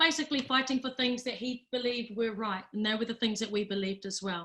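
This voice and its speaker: A woman with a New Zealand accent speaks in a high pitch, with a bright, sharp tone and fairly even intonation. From New Zealand, Rotorua. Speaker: data organisation chief executive. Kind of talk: webinar presentation.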